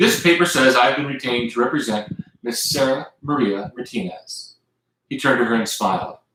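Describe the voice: Plain reading aloud with lively intonation against a quiet background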